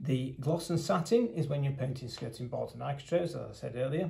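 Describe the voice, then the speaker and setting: Vocal fry runs through this fairly quick delivery, which has ordinary pitch variation. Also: man. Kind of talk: product demonstration. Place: meeting room. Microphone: phone near.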